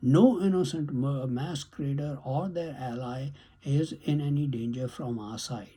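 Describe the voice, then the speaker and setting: A man's fairly high, somewhat breathy voice with a dark, mellow tone, ordinary pitch variation and a fairly slow pace. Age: 70s. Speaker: YouTube commentator. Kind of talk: monologue commentary.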